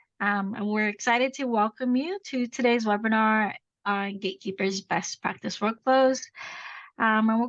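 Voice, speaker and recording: A woman with a fairly high voice speaks at a moderate pace with fairly even intonation in a plain, everyday voice, the sound dry and close with no echo over a quiet background. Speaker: implementation consultant. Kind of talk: webinar presentation.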